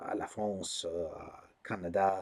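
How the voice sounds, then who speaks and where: Speech here comes very slowly. A man delivers it with an American accent. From US, Colorado. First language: English (speaking French). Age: 20s. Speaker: YouTuber, political commentator. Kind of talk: casual vlog monologue. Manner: halting, many fillers and repetitions.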